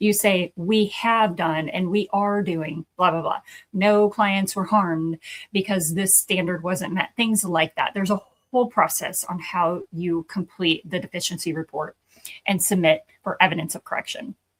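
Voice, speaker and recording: At a moderate pace and medium pitch, a woman with an ordinary speaking voice talks with fairly even intonation in a dry, close sound with no echo. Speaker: accreditation consultant for addiction treatment programs. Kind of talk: educational talk.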